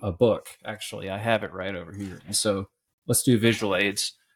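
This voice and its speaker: With an American accent, a man with an ordinary speaking voice speaks at a fairly low pitch with fairly even intonation. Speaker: podcast host. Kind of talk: casual interview conversation. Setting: remote call.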